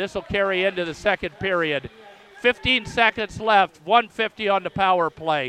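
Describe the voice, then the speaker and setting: A man with an American accent projects a raised voice at a high pitch. His pace is fairly slow, with ordinary pitch variation. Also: dry, close sound with no echo. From Philadelphia, US. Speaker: radio play-by-play announcer and English teacher. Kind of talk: live sports commentary. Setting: radio broadcast booth at a rink. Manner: hoarse, strained from many games.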